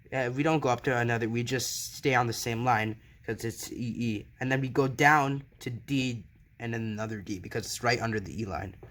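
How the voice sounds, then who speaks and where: A man's normal speaking voice at a medium pitch, fairly quick in pace, with ordinary pitch variation. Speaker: piano teacher. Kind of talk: tutorial.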